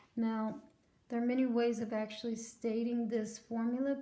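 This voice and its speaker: A woman talks at a fairly slow pace with a fairly high pitch. Her intonation stays monotone and flat over noticeable background noise. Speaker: chemistry teacher. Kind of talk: tutorial. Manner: loud.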